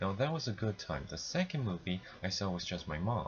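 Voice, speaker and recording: Vocal fry and very wide pitch swings in a man's voice. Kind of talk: casual film review to camera. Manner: stuttering, mumbling.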